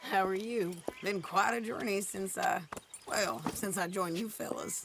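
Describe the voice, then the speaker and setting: In a put-on character voice, a woman speaks raspily at a moderate pace, her medium pitch moving with ordinary variation. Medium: video game. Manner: wry, direct.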